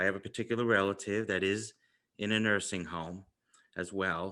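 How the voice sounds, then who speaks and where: Against a quiet background, a man with a New York accent talks at a moderate pace in a fairly low pitch and fairly even intonation. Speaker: podcast host. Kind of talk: interview; scripted introduction.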